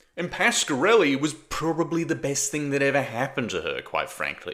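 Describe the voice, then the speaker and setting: Vocal fry runs through a man's bright, sharp voice with an Australian accent. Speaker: political commentator. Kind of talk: political commentary monologue. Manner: casual, conversational.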